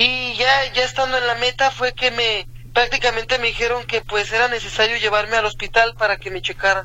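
Over noticeable background noise, a man speaks in a raised, projected voice at an extremely high pitch, with monotone, flat intonation and hardly any pauses. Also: fairly quick pace. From Mexico, Tonalá, Jalisco. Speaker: amateur runner. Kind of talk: radio interview. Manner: halting, hesitant.

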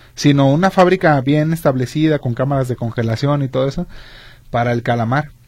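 A somewhat breathy male voice at a fairly quick pace, with ordinary pitch variation. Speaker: radio co-host. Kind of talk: radio talk show. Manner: halting.

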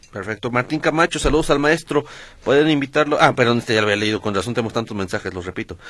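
A man speaks at a very fast pace. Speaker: substitute radio host. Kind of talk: radio talk show.

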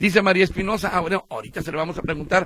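The voice is raised and projected, with a bright, sharp tone and a dry, close sound with no echo. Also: man. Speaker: radio host. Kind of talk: call-in radio show. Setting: radio studio.

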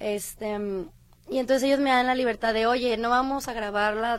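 An ordinary speaking voice moves at a moderate pace with ordinary pitch variation. The recording is very clean, with a silent background. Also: woman. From Colima, Mexico. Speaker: actress. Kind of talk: interview.

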